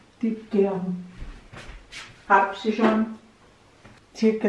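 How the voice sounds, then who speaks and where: With an Austrian accent, a woman is heard through audible room echo and light background noise. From Burgenland, eastern Austria. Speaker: grandmother baker. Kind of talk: cooking demonstration. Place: kitchen. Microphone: camera far.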